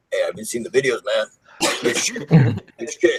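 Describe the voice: A man speaks at a moderate pace in a croaky, put-on character voice.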